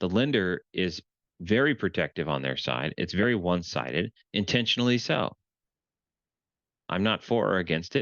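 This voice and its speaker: A man with a very deep, low pitch talks at a fairly quick pace. Vocal fry runs through his voice. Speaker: real estate transaction consultant. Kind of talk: tutorial.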